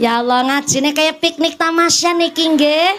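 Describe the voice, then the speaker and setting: Against noticeable background noise, a woman with a high pitch speaks in an animated tone at a fairly slow pace. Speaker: Islamic preacher. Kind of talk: sermon. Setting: outdoor gathering with PA system. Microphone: echo on mic.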